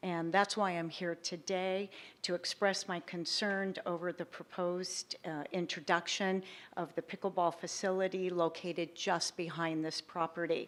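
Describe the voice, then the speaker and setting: On a very clean recording with a silent background, a woman's shaky voice holds a monotone, flat intonation. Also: fairly low pitch for a woman, moderate pace. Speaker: public commenter, tennis player services director. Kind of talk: public comment at council meeting. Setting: city council meeting, public hall. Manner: hesitant.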